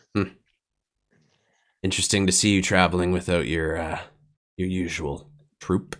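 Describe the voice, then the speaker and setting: Putting on a raspy character voice, a man speaks at a very deep, low pitch and a moderate pace, with long, frequent pauses. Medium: actual play. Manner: slow, appraising.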